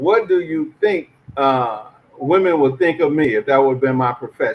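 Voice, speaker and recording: A man speaks in an ordinary speaking voice at a moderate pace. His pitch is fairly high, with lively intonation. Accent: American. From US South, Arkansas. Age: 60s. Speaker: podcast co-host and teacher. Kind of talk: casual discussion podcast.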